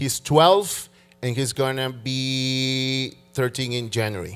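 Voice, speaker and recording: Music plays behind a man with a Spanish accent. He speaks at a very slow pace in a medium pitch. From Peru. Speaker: church worship leader, keyboard player. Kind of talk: church interview. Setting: church stage with congregation. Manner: halting.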